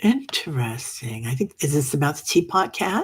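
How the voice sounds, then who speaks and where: Speech comes at a very slow pace with a somewhat breathy quality. The pitch swings very widely. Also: woman. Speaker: meditation group host. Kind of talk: casual chat. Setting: livestream reading comments. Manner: casual, chatty with fillers.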